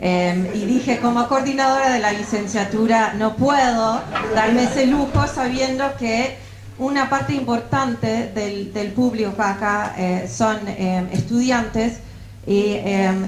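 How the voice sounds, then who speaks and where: Amid noticeable background noise and audible room echo, a woman speaks at a very slow pace in a fairly high pitch. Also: ordinary pitch variation. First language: English (speaking Spanish). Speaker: political science professor. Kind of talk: academic book presentation. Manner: halting, many fillers.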